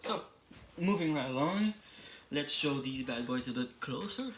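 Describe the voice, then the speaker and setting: A man with a French accent and lively intonation. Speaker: toy reviewer YouTuber. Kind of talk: product review. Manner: hesitant, with fillers.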